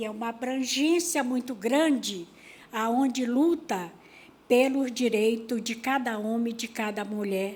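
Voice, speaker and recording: A woman speaks in an ordinary speaking voice at a fairly slow pace. Her pitch is fairly high, with ordinary variation. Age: 50s. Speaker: rural workers' union leader. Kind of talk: panel talk at seminar.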